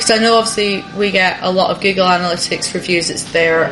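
The speech goes at a fairly quick pace with ordinary pitch variation over noticeable background noise. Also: woman. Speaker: restaurant owner, podcast co-host. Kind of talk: casual chat, podcast.

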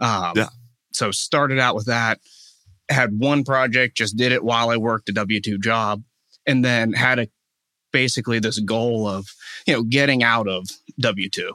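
A man with an American accent at a medium pitch, moderate pace with long, frequent pauses, bright, sharp tone and fairly even intonation, dry and close with no echo on a very clean recording over a silent background. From Pittsburgh area, Pennsylvania. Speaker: real estate investor.

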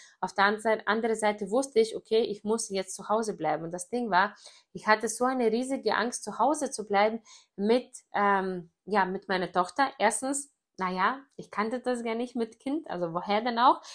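On a very clean recording with a silent background, a woman talks at a moderate pace. Her pitch is fairly high, with ordinary pitch variation. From Greece. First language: Greek (speaking German). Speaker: network marketer. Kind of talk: personal story monologue. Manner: casual with many fillers.

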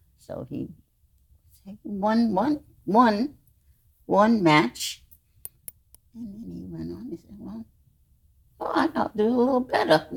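Speaking very slowly with a New York accent, a woman leaves long, frequent pauses and shifts her loudness in big swings. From US Northeast, the Bronx, New York. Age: 90s. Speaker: host's mother. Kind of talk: casual chat.

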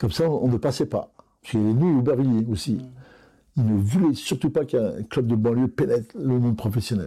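His delivery is fairly quick, and a man's tone here is dark and mellow. Nothing but silence sits behind this very clean recording. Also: medium pitch for a man, lively intonation. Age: 60s. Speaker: football coach. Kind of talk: interview.

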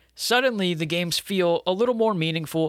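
An energetic man at a fairly quick pace, on a very clean recording with a silent background and a dry, close sound with no echo. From Pennsylvania (Erie). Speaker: sports podcast host. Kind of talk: solo podcast monologue. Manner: fast, energetic.

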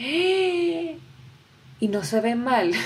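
The delivery is animated, with very wide pitch swings. Audible room echo surrounds the voice. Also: woman. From Venezuela. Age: 20s. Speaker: podcaster. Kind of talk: solo podcast monologue.

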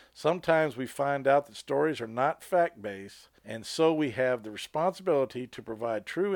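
This man has an unremarkable speaking voice, fairly high in pitch, with an American accent and ordinary pitch variation, recorded very cleanly with a dry, close sound, no echo and a silent background. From Colorado. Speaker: podcast co-host, paranormal investigator. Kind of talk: casual chat; reading aloud.

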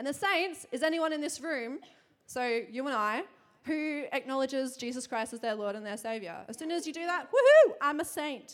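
With an Australian accent, a woman speaks at a high pitch in an animated tone, with lively intonation at a moderate pace. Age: 20s. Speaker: church preacher. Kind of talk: sermon. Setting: church.

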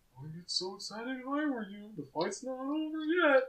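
A put-on character voice is delivered at a high pitch. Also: moderate pace. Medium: actual play. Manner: fussy, scolding.

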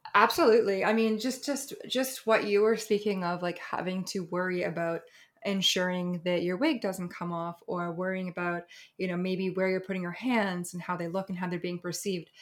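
A woman with a medium-pitched, plain, everyday voice speaks with ordinary pitch variation. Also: moderate pace. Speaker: sex worker and content creator. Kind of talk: interview.

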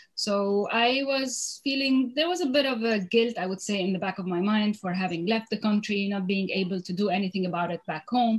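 A woman speaks at a fairly quick pace with hardly any pauses. Her medium-pitched voice is somewhat breathy, with ordinary pitch variation. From Lebanon. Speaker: food entrepreneur. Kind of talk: interview.

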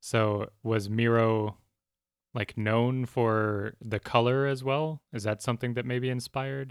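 An unremarkable speaking voice from a man with an American accent, medium in pitch, with fairly even intonation and a fairly slow pace, on a very clean recording with a silent background and a dry, close sound with no echo. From US. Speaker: podcast co-host. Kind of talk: casual chat.

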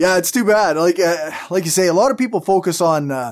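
An ordinary speaking voice with lively intonation, caught in a very clean recording against a silent background. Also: man. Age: 40s. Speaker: podcast host. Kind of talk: casual interview chat.

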